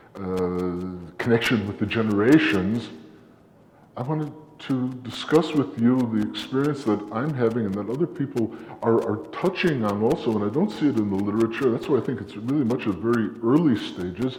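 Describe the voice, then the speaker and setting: With audible room echo, a man speaks with lively intonation. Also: medium pitch for a man, moderate pace. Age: 60s. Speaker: academic presenter. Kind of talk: conference talk. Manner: halting.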